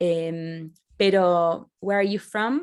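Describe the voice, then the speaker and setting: In an Argentine accent, a woman's voice with ordinary pitch variation, on a very clean recording with a silent background. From Argentina, Rosario. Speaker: author. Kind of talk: interview. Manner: halting, many restarts.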